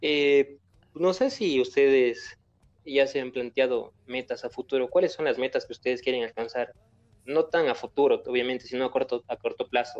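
This man talks at a moderate pace. The sound is dry and close with no echo, over a quiet background. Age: 20s. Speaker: podcast host. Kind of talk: casual interview.

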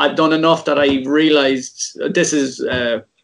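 A man speaks with fairly even intonation. His pitch is fairly high. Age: 30s. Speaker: football artist and illustrator. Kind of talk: casual chat.

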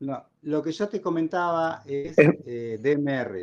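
A man with a fairly high pitch talks with lively intonation. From Argentina. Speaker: amateur radio operator. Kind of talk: casual chat.

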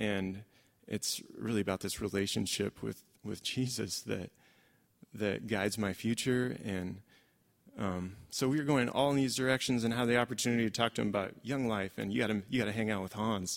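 A man with a fairly low pitch, ordinary pitch variation, a normal speaking voice, and a moderate pace. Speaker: church member sharing. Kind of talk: testimony.

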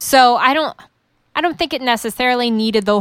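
Fairly quick and with ordinary pitch variation, a woman talks in an unremarkable speaking voice. The recording is very clean, with a silent background. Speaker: wrestling fan and guest co-host. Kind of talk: casual chat about wrestling.

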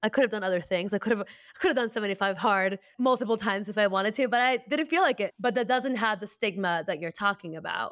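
The recording is very clean with a silent background. A woman with a fairly high pitch talks at a very fast pace with hardly any pauses. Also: ordinary pitch variation. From Peru. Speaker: podcast co-host. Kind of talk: casual chat.

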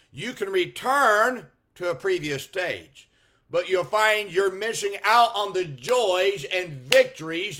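On a very clean recording with total silence behind it, the voice has a bright, sharp tone and lively intonation. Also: man. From California. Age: 50s. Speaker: Baptist pastor. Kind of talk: sermon. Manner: halting.

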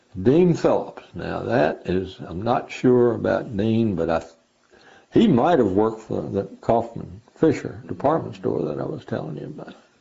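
A man with an American accent speaks at a moderate pace in a medium pitch, his voice showing vocal fry, very wide pitch swings and big swings in loudness. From southwest Virginia, Christiansburg. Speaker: retired judge and lawyer. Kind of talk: oral history interview. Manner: halting with many fillers.

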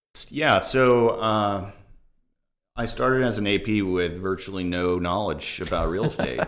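With an American accent, the speaker uses lively intonation at a fairly slow pace, and the room echo is audible. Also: man, fairly low pitch for a man. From Florida, Tampa Bay area. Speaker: real estate agent. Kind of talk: casual interview. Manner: hesitant, many fillers.

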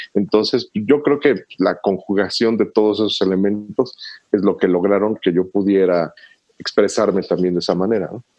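Fairly low in pitch and dark, mellow in tone, a man's voice moves at a moderate pace with fairly even intonation. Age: 40s. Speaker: bass guitarist. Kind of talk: casual interview.

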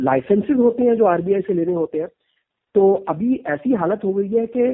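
The man's pitch makes very wide swings. He speaks at a moderate pace. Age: 50s. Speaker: crypto startup founder. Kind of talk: interview.

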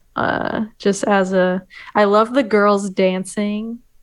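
A woman with an American accent, an ordinary speaking voice, medium pitch and fairly even intonation. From Oregon. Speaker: documentary filmmaker. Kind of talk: casual chat.

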